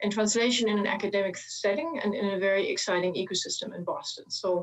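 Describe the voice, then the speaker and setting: A woman with a German accent at a very fast pace, with noticeable background noise. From Germany. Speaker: chemist, translational research leader. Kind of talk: panel opening statement.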